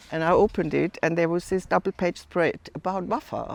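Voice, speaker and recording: With vocal fry and a fairly low pitch, a woman talks at a moderate pace in a dry, close sound with no echo. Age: 70s. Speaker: fitness club member. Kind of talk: interview testimony. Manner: halting.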